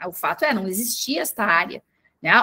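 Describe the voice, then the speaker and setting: Speaking at a fairly slow pace, a woman in a Porto Alegre accent has a bright, sharp tone. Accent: gaúcho (Porto Alegre). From southern Brazil, Porto Alegre. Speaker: communications manager, former teacher. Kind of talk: panel talk. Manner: halting, many fillers.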